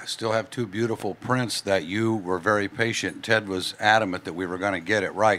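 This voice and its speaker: A man talks at a fairly quick pace in a bright, sharp tone with fairly even intonation. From US Midwest, western Illinois. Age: 60s. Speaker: photographer. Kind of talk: casual chat.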